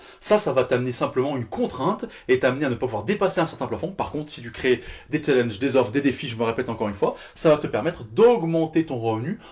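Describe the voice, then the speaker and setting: At a very fast pace, a man speaks in a fairly high pitch and sounds somewhat breathy. The recording is very clean, with a silent background. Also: lively intonation. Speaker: fitness business coach. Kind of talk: tutorial. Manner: animated.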